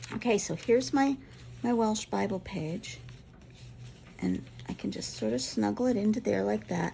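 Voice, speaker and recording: Long, frequent pauses break up a dark, mellow tone with vocal fry and very wide pitch swings. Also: woman, moderate pace. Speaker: crafter. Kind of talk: tutorial. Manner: casual, musing aloud.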